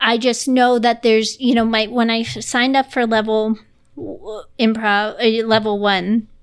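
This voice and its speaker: Fairly high in pitch, a woman talks with fairly even intonation in a normal speaking voice. The recording is very clean, with a silent background. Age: 30s. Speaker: improviser and nanny. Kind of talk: casual interview chat. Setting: home recording in dining room.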